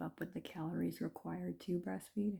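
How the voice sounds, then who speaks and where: A woman speaks quietly with vocal fry at a fairly low pitch. Her pace is moderate. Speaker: vlogger. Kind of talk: casual monologue vlog. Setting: at home after a bath, late at night. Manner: hesitant, many fillers.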